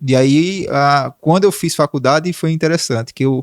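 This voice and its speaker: In a normal speaking voice, a man with a fairly high pitch talks at a moderate pace with fairly even intonation, the sound dry and close with no echo on a very clean recording with a silent background. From Brazil, Santana do Ipanema, Alagoas (Northeast). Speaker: digital marketing consultant and speaker. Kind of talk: podcast interview, life story. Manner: casual, conversational.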